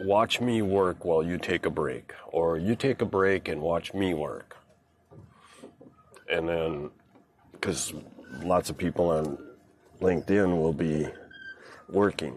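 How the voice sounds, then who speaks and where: A man with a very deep, low voice speaks at a very slow pace, his pitch varying in an ordinary way, with long, frequent pauses. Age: 60s. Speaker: boating and fishing livestreamer. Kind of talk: casual monologue on a livestream. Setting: on a boat outdoors. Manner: halting, many fillers.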